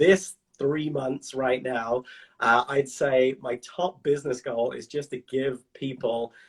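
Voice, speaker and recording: A man is talking. His pitch is medium. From England. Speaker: teacher and goal-setting coach. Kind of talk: casual interview on a livestream.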